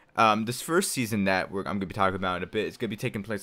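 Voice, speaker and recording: In a very clean recording with a silent background, a man speaks at a fairly low pitch with ordinary variation. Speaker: gaming YouTuber. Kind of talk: casual video announcement. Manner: halting.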